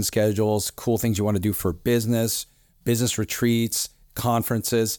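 On a very clean recording with a silent background, a man of medium pitch speaks at a fairly quick pace in a dark, mellow tone. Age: 40s. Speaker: physician podcast host. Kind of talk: solo podcast monologue. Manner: conversational.

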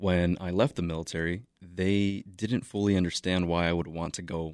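Very deep and low, a man's voice with an American accent moves at a fairly slow pace. The recording is very clean and dry, close with no echo and a silent background. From Chicago. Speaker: war veteran, volunteer organizer. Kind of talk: interview.

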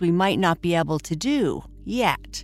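A woman's intonation is lively while music plays behind her. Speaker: bedtime podcast host. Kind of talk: guided meditation. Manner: soft, slow, soothing.

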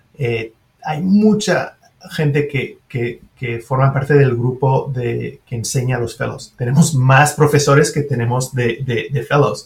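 This man speaks with a French accent, and his voice is somewhat breathy. His pace is fairly slow. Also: medium pitch for a man, ordinary pitch variation. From Switzerland (French-speaking). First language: French (speaking Spanish). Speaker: surgeon and professor. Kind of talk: interview.

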